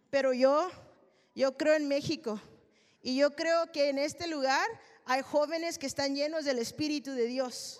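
Speaking in a high, animated voice, a woman moves at a fairly slow pace with long, frequent pauses. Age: 30s. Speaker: preacher. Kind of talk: sermon.

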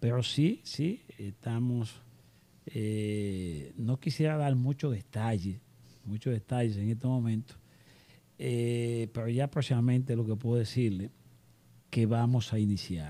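Very slow, medium-pitched male speech in a dark, mellow tone, with ordinary pitch variation, very even loudness and long, frequent pauses. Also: very clean recording, silent background. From Dominican Republic, Constanza. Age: 50s. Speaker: real estate developer. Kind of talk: interview.

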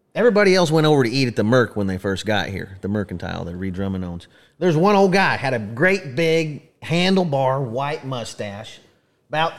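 A man of medium pitch speaks at a fairly quick pace with very wide pitch swings, recorded very cleanly against a silent background. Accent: Oklahoma. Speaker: podcast host, museum representative, former rodeo clown. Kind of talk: casual chat. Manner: animated, laughs often.

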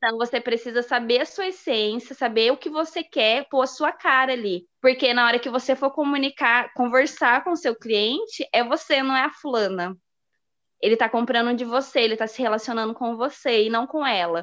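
Against a quiet background, a woman talks at a moderate pace in a high pitch with ordinary pitch variation. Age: 30s. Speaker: pharmacist turned home baker, entrepreneur. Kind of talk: casual interview chat.

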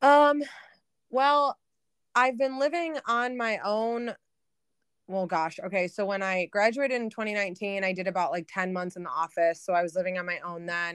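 A woman speaks at a moderate pace in a normal speaking voice, her pitch medium. Her intonation is lively, and the recording is very clean with a silent background. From Michigan, outer Metro Detroit. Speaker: business analyst. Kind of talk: casual interview.

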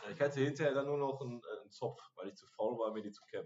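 A man is talking. His pace is very fast. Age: 40s. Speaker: podcast host at a social day center. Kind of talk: casual chat.

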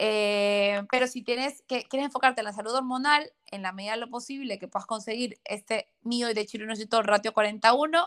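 In an unremarkable speaking voice, a woman talks at a fairly quick pace with a fairly high pitch and ordinary pitch variation. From Ecuador. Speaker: nutrition and hormonal health professional. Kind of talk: interview, health explanation.

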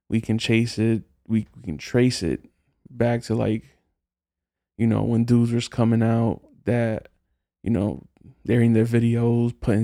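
A man with an American accent talks at a medium pitch in a dark, mellow tone. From New Jersey, West New York (Hudson County). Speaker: solo podcast host. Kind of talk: casual solo monologue.

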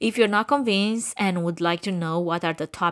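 In a very clean recording with a silent background, a woman with a Romanian accent speaks at a medium pitch and a moderate pace with lively intonation. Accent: Romanian, noticeable. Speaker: podcast host, event production company owner. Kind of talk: scripted podcast monologue.

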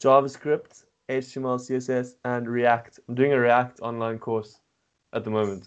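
A man speaks at a fairly slow pace and a medium pitch. His intonation stays monotone and flat. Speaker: podcast co-host. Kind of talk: casual chat.

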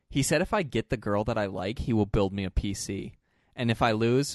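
A man with a plain, everyday voice, fairly low in pitch with ordinary pitch variation, at a moderate pace, in a dry, close sound with no echo. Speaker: podcast host. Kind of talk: casual banter between co-hosts. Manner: joking, playful.

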